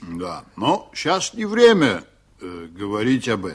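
Using a put-on character voice, a man talks slowly at a fairly low pitch with very wide pitch swings.

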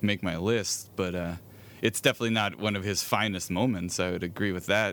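A man speaks at a fairly quick pace with a fairly low pitch. His tone is bright and sharp, with ordinary pitch variation. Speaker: podcast host. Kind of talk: casual chat.

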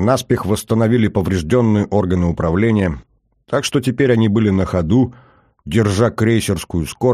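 The reading voice sounds natural and shows ordinary variation in pitch. Behind it, things are quiet.

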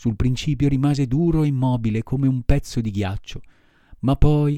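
The pitch varies in an ordinary way. This is plain reading aloud.

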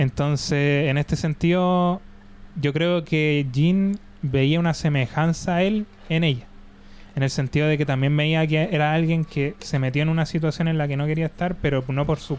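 This man talks at a moderate pace in a Chilean accent, his fairly high pitch held in fairly even intonation. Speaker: podcast host. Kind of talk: casual chat.

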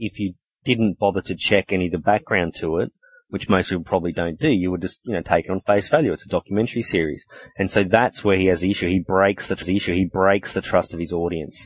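In an Australian accent, a man speaks very fast in a very deep, low pitch with fairly even intonation, the sound dry and close with no echo. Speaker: podcast host. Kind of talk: casual chat.

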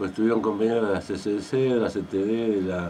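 Fast and fairly low in pitch, a man talks in a dark, mellow tone with audible room echo. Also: ordinary pitch variation.

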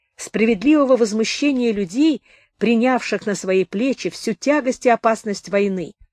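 What's heard is plain reading aloud.

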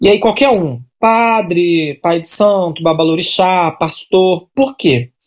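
Lively intonation carries this voice along at a very slow pace. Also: woman, fairly low pitch for a woman, hardly any pauses. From Brazil, São Paulo. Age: 30s. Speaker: political candidate, activist. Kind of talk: interview.

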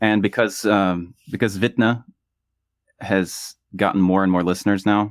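A man with an American accent talks at a moderate pace, his pitch very deep and low. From US South. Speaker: musician. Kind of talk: casual interview. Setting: video call from home bedroom studio.

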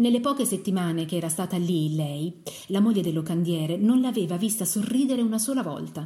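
Someone reads in a natural reading voice, and the intonation is lively.

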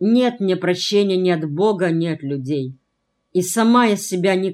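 Plain reading aloud, with a quiet backdrop

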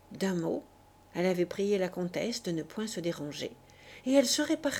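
Lively intonation in an unforced reading voice

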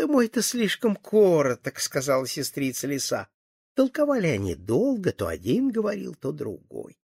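Plain reading aloud, set against a quiet background, fills the clip.

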